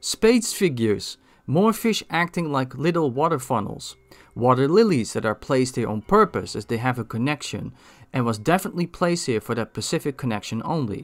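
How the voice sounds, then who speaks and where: Speaking at a fairly quick pace with a Dutch accent, a man uses a fairly high pitch and very wide pitch swings, recorded very cleanly with a silent background and a dry, close sound with no echo. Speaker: gaming video creator. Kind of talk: scripted narration.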